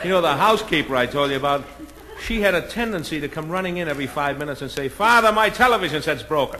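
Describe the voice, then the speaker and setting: Noticeable background noise surrounds a man talking at a very fast pace with an American accent. His pitch is fairly high and his intonation lively. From Boston. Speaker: comedian. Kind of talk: stand-up comedy album.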